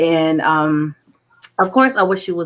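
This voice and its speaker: Pitched fairly low, a woman's voice moves at a moderate pace. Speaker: podcast host. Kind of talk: casual chat. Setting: live stream. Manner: animated.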